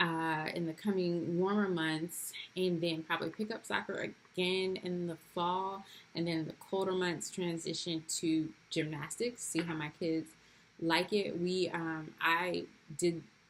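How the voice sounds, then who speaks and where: An unremarkable speaking voice moves at a fairly slow pace. Its intonation is fairly even. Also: woman, fairly low pitch for a woman. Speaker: homeschooling mom vlogger. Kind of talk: casual vlog talk to camera. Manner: casual with many fillers.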